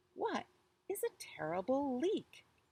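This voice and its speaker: Her voice sits high in pitch. The woman is doing a put-on character voice. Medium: read story.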